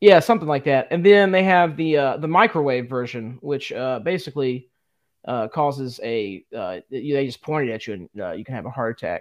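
Against a quiet background, a man with a fairly high pitch and lively intonation speaks at a moderate pace, his loudness swinging widely. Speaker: podcast co-host. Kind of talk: casual chat. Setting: live stream.

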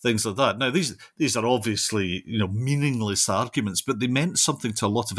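A man with a West of Scotland accent talks at a fairly quick pace with ordinary pitch variation. The sound is dry and close with no echo, on a very clean recording with a silent background. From Scotland, Renfrewshire (southwest). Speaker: linguistics professor. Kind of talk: interview about his book. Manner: halting, many fillers.

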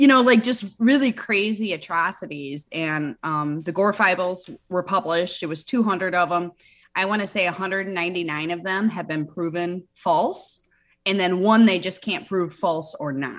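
Against a quiet background, a woman with an American accent talks at a moderate pace in a plain, everyday voice of medium pitch with ordinary pitch variation. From Michigan, US Midwest. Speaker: cannabis entrepreneur and author. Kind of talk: podcast interview.

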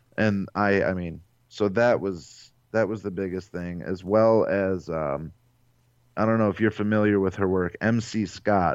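A man's very deep, low voice with a Midwestern American accent, fairly even intonation and a moderate pace, over a quiet background. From US Midwest, Ohio (Cleveland area). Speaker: novelist and podcast host. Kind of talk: interview.

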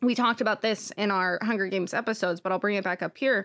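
On a very clean recording with a silent background, a woman with a fairly high pitch speaks at a fairly quick pace in an unremarkable speaking voice. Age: 20s. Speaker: podcast co-host. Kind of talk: casual chat.

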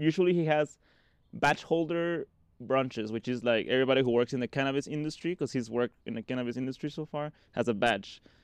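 In a Spanish accent, a man at medium pitch speaks at a very fast pace with ordinary pitch variation, in a dry, close sound with no echo. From Mexico (Mexico City area, Cabo San Lucas). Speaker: visionary artist and shamanic practitioner. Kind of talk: casual chat. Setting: at home.

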